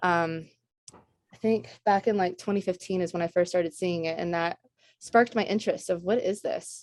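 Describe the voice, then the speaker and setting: A woman at medium pitch talks at a moderate pace with fairly even intonation. Her loudness swings widely against a quiet background. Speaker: fabric and product developer. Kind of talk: guest lecture to students. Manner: halting, many fillers.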